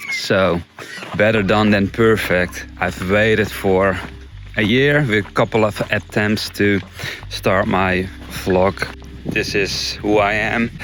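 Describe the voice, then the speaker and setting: Over background music, a man with a Dutch accent and a fairly low pitch speaks at a very slow pace with long, frequent pauses. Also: ordinary pitch variation, very even loudness. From Netherlands. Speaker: nature vlogger and bird photographer. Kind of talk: casual vlog.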